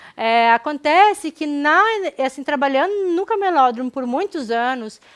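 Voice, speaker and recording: On a very clean recording with a silent background, a woman speaks at a fairly slow pace. Her high voice has lively intonation and a Porto Alegre accent. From southern Brazil, Porto Alegre. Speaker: anthropologist researcher. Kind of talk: public lecture. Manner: hesitant, with fillers and restarts.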